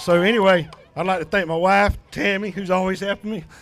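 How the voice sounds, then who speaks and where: With an American accent, the speaker keeps a moderate pace and fairly even intonation. Music plays in the background. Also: man. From Georgia, US South. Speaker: off-road racer. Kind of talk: post-race interview.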